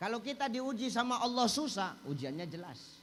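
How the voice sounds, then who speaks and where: Lively in intonation, a man with a Medan accent speaks at a high pitch and a fairly slow pace. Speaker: Islamic preacher. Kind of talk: humorous religious sermon.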